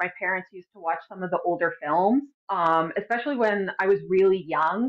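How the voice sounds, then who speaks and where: With a Midwestern accent, this voice moves at a moderate pace with ordinary pitch variation. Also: woman. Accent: American Midwest. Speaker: dancer. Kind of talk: interview. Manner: casual, many fillers.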